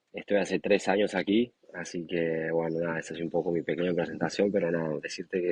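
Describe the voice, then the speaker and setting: This man speaks in a Santiago del Estero accent at a fairly quick pace. His pitch is very deep and low, and his intonation is monotone and flat. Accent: Argentine Spanish, Santiago del Estero. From Argentina, Santiago del Estero. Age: 20s. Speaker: professional rugby player. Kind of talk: interview. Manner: hesitant, many fillers.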